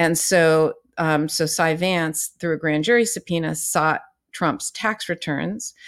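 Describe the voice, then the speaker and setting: A normal speaking voice: a woman with an American accent, fairly low pitch and ordinary pitch variation at a fairly slow pace, on a very clean recording with a silent background. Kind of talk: casual legal news commentary.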